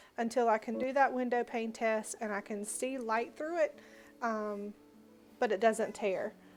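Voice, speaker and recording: A woman with a Southern US accent speaks at a fairly high pitch and with fairly even intonation while music plays in the background. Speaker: homemaker, home baker. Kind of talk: casual cooking tutorial to camera.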